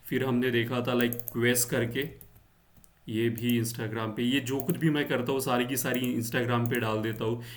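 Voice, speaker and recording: Monotone, flat delivery from a man at medium pitch, with audible room echo. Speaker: stock market YouTuber. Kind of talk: market analysis tutorial. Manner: slow; hesitant, many fillers.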